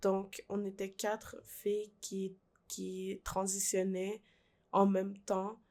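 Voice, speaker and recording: A woman's dark, mellow, medium-pitched voice with a Quebec accent, very slow pace and monotone, flat intonation, on a very clean recording with a silent background. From Peru, raised in Quebec from age 5. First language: Spanish (speaking French). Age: 20s. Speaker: young immigrant guest. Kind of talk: personal testimony. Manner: slow speaker.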